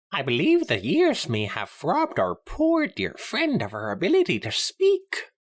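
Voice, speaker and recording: A put-on character voice runs along with hardly any pauses on a very clean recording with a silent background. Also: moderate pace. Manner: regal, formal, archaic.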